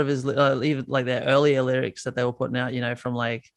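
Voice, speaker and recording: A man speaks at a medium pitch with an Australian accent. The background is quiet. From Australia, north Queensland. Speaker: musician. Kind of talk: casual interview. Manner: halting.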